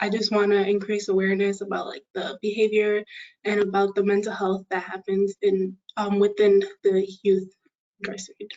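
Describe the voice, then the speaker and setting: The speaker talks at a moderate pace with a monotone, flat intonation. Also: woman, medium pitch for a woman. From western New York, Buffalo. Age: 20s. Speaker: engineering student and youth advocate. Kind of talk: panel self-introduction.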